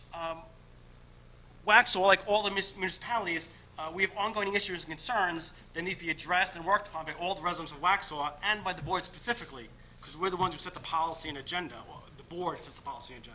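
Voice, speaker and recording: Talking at a very fast pace with a high pitch, a man keeps fairly even intonation while his loudness swings widely, with noticeable background noise behind him. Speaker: candidate for town board seat. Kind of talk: interview opening statement. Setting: public meeting. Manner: halting.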